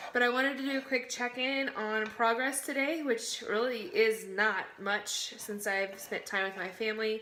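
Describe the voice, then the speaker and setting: Over noticeable background noise, a woman with a fairly high pitch and ordinary pitch variation talks at a moderate pace with hardly any pauses. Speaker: book vlogger. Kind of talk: casual vlog. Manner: quiet.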